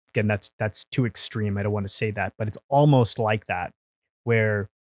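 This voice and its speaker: A man with an American accent at a moderate pace. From India, then Hong Kong. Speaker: film and TV producer. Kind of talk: podcast interview.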